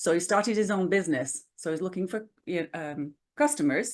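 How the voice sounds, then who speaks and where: A woman with a British accent, medium pitch and lively intonation, against a quiet background. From northern England. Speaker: business owner. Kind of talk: interview.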